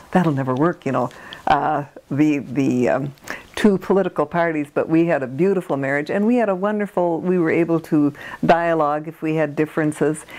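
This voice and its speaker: A woman's very deep, low voice with ordinary pitch variation at a moderate pace, noticeable background noise behind it. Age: 80s+. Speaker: retired nurse, oral history interviewee. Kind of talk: oral history interview. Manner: halting, many fillers.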